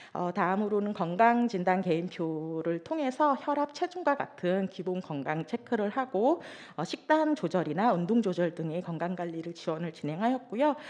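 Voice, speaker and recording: Shaky and with hardly any pauses, a woman talks at a moderate pace and medium pitch with very wide pitch swings. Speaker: social welfare worker presenting program results. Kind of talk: conference presentation. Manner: trembling voice; hesitant with fillers.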